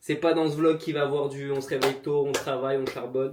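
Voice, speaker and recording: The speaker is a man. His pitch is medium. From France, Lyon area. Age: 20s. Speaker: comedian. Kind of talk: vlog, casual talk to camera. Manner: animated.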